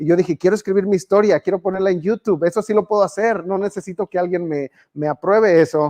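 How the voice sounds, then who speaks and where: This man talks at a very fast pace with hardly any pauses, his high-pitched voice carrying a dark, mellow tone and fairly even intonation. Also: dry, close sound with no echo. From Mexico. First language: Spanish. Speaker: filmmaker, immigrant activist. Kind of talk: bilingual personal testimony talk.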